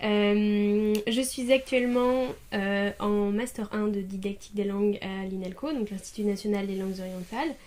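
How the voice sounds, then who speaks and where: Her medium-pitched voice is a normal speaking voice with fairly even intonation. The woman keeps a fairly slow pace. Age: 20s. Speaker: master's student in language teaching. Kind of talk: interview answer.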